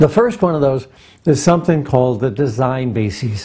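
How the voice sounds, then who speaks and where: The voice has a dark, mellow tone, somewhat breathy, with very wide pitch swings. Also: man. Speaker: nuclear engineer giving a presentation. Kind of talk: recorded presentation.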